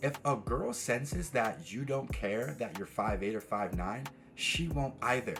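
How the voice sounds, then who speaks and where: A man with an American accent at a fairly slow pace, music in the background. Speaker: dating and self-improvement coach. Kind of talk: motivational talk to camera. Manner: rolls some words too much.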